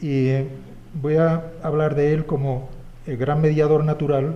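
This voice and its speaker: A man speaks with a fairly high pitch and fairly even intonation. Audible room echo surrounds his voice. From Spain. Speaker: historian. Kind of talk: conference talk. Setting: symposium with audience. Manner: hesitant, many fillers.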